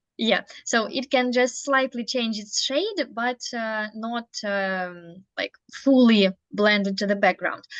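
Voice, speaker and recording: A woman with a Russian accent speaks at a very slow pace and a fairly high pitch. The sound is dry and close with no echo, against a quiet background. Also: ordinary pitch variation. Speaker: English learner in study group. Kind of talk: language practice conversation. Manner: halting.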